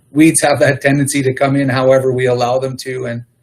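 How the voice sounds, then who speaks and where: At a moderate pace, a man speaks in a medium-pitched, somewhat breathy monotone. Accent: Canadian prairie. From Manitoba, Canada. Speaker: agricultural services manager. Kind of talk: council meeting report. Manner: hesitant, many fillers.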